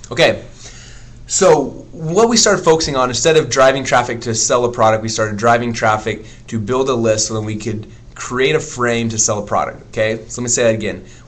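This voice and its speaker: Audible room echo surrounds a man who speaks at a fairly quick pace with a medium pitch and ordinary pitch variation. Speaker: internet marketing teacher. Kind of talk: live webinar teaching. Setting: live stream. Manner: fast.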